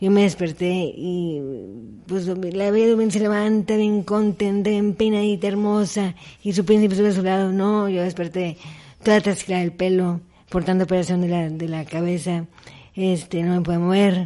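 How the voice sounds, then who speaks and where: In a quiet background, a woman speaks at a moderate pace in a dark, mellow tone, medium-pitched, with monotone, flat intonation. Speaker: accident survivor and motivational speaker. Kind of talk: interview testimony. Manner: halting.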